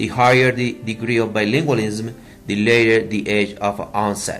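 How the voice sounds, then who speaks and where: A man with a Spanish accent talks at a fairly slow pace and a medium pitch with ordinary variation, with noticeable background noise behind him. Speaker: EFL teacher. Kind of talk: student presentation.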